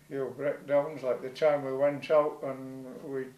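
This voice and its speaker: The voice carries a Yorkshire accent. Its pace is moderate. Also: man. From North Yorkshire, Scarborough. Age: 70s. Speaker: retired fisherman. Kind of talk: storytelling.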